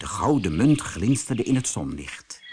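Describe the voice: A man speaks fairly slowly at a fairly low pitch, with big pitch swings. His tone is slightly mellow with a slightly husky edge.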